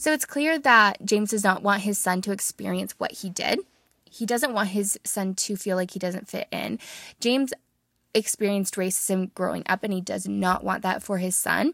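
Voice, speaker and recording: In a very clean recording with a silent background and a dry, close sound with no echo, a woman uses a normal speaking voice at a medium pitch, with ordinary pitch variation and a moderate pace. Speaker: podcast host and book reviewer. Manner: measured, expressive storytelling delivery while reading the passage; conversational, warm, earnest.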